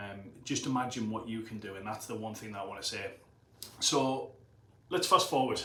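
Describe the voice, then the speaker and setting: A man with a Teesside accent speaks at medium pitch and a fairly quick pace, with long, frequent pauses. Noticeable background noise and audible room echo are present. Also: ordinary pitch variation. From northern England, Middlesbrough. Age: 30s. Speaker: personal trainer and gym owner. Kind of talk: motivational talk to camera. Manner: casual, conversational.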